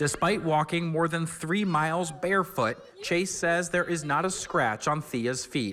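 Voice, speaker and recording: The man talks at a fairly slow pace, his pitch high. Loudness stays very even while pitch varies in an ordinary way. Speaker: TV news reporter. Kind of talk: TV news report.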